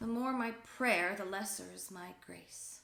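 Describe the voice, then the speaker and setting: Using a put-on character voice, a woman speaks fairly slowly in a raspy tone at medium pitch with fairly even intonation. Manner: desperate, pleading, theatrical.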